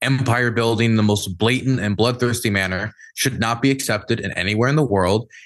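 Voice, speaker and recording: A man with a Mid-Atlantic American accent, medium pitch, ordinary pitch variation and a fairly quick pace against a quiet background. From US, Maryland. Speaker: war journalist and political streamer. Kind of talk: podcast interview discussion.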